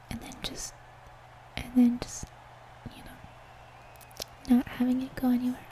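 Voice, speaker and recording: Someone whispers at a fairly slow pace with long, frequent pauses, over noticeable background noise. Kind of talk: casual talk while gaming. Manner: soft-spoken.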